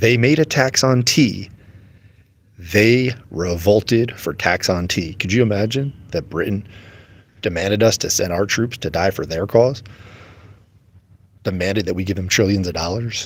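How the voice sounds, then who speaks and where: A man with an American accent speaks quietly at a moderate pace, with a fairly low pitch and ordinary pitch variation. He leaves long, frequent pauses. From United States. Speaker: religious livestreamer. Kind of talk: casual livestream talk. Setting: airport. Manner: trying to talk quietly; animated.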